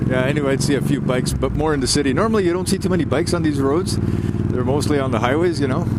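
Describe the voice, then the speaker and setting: Very fast and with hardly any pauses, a man talks at a fairly high pitch with ordinary pitch variation. Noticeable background noise and audible room echo fill the recording. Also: very even loudness. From Quebec. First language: Italian. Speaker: motorcycle vlogger. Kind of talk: casual vlog monologue. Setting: riding a motorcycle outdoors. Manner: casual, filler-heavy.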